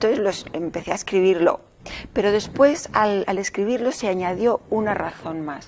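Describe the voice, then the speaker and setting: Here is a woman with an ordinary speaking voice at a medium pitch. She talks at a fairly slow pace with ordinary pitch variation. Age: 60s. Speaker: novelist. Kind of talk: interview.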